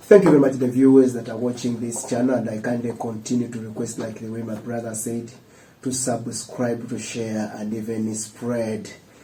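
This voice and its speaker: Amid audible room echo, a man of medium pitch keeps a moderate pace and monotone, flat intonation while his loudness swings widely. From Uganda, Mpigi district village. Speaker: student leader. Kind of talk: interview.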